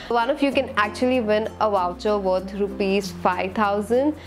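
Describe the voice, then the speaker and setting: A woman at a fairly slow pace with ordinary pitch variation, clear music in the background. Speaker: beauty vlogger. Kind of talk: casual vlog chat. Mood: cheerful, upbeat. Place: home room. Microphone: lapel.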